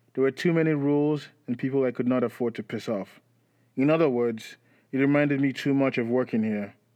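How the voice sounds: The speaker reads with a natural voice.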